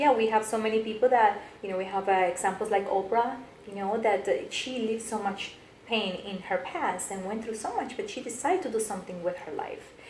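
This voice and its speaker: A woman with a Colombian accent talks at a fairly quick pace in a fairly high voice with ordinary pitch variation. Audible room echo and noticeable background noise surround her. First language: Spanish. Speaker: business coach and motivational speaker. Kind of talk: interview. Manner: animated.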